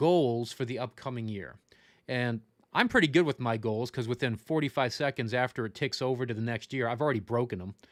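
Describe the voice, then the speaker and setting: A man with an American accent speaks at a fairly quick pace and a medium pitch with ordinary pitch variation, in a plain, everyday voice. The recording is very clean with a silent background and has a dry, close sound with no echo. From Florida, Tampa Bay. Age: 40s. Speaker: funeral service educator. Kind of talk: livestream lecture. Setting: livestream. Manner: casual, joking.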